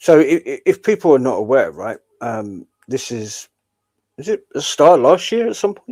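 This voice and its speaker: In a southern English accent, a man with a fairly high pitch and a dark, mellow tone talks at a moderate pace with very wide pitch swings and big swings in loudness, the sound dry and close with no echo. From southern England. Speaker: streamer, commentator. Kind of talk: live stream commentary.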